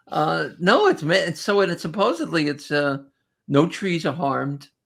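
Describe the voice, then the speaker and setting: A woman with a strong New Jersey accent speaks at a fairly low pitch, her voice marked by vocal fry. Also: ordinary pitch variation, moderate pace. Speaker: comedian. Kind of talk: casual chat. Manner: halting, many false starts.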